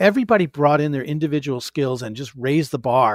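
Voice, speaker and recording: With an American accent and an unremarkable speaking voice, a man talks at a moderate pace and a fairly high pitch, using lively intonation. The recording is very clean, with a silent background and a dry, close sound with no echo. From upstate New York. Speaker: author and podcast host. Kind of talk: casual interview.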